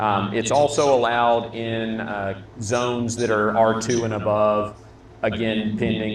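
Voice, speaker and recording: Audible room echo surrounds the speaker. He is a man with a fairly low pitch. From Minnesota. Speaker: local elected official. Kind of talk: town hall Q&A. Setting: public meeting at a restaurant.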